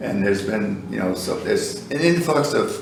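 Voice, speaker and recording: An American accent amid audible room echo and noticeable background noise. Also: man. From US Northeast (Columbia County, New York). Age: 70s. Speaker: retired farmer and school bus business owner. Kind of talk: oral history interview. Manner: hesitant, with many fillers.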